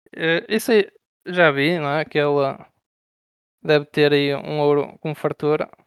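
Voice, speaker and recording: A man talks fairly slowly in a fairly high voice, with fairly even intonation. His speech has long, frequent pauses. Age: 20s. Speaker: online strategy game player. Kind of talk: casual interview. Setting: Discord voice call.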